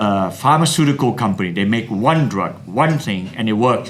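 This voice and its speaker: Intonation is lively as a man speaks at a moderate pace. Audible room echo surrounds him. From Malaysia. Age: 70s. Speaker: scientist. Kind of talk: interview. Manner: animated; halting.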